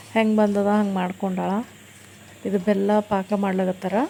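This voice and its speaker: A woman talks in a monotone, flat intonation. Light background noise is present. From Gulbarga, north Karnataka; Karnataka, India. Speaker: family vlogger. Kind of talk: casual vlog narration.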